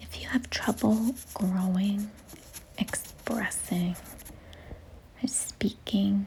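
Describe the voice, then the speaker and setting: A soft-spoken woman with a gentle tone talks at a very slow pace, leaving long, frequent pauses. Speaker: art content creator. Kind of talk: calming art tutorial talk. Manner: gentle, quiet, soft-spoken.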